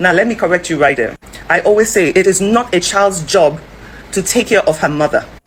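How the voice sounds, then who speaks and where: A woman talks at a medium pitch with lively intonation and an animated tone, her loudness very even despite noticeable background noise. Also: fairly quick pace. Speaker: social commentary vlogger. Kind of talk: opinion vlog commentary. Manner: fast.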